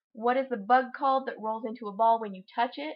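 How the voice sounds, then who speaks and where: Mumbling speech in an American accent over a quiet background. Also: woman. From Utah, USA. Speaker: vlogger. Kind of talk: casual talk to camera, accent tag word list. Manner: a bit mumbly. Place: home room. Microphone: webcam.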